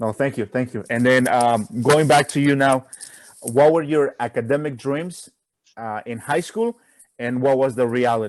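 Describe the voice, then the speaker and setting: Speaking with a Spanish accent, a man keeps a moderate pace, medium pitch and ordinary pitch variation. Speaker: college student. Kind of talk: casual chat.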